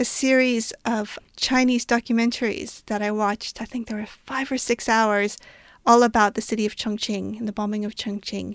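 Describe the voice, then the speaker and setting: A woman with an American accent speaks in a normal speaking voice at a moderate pace, her fairly high pitch moving in fairly even intonation, on a very clean recording with a silent background. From US Southwest, New Mexico. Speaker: novelist. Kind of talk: interview.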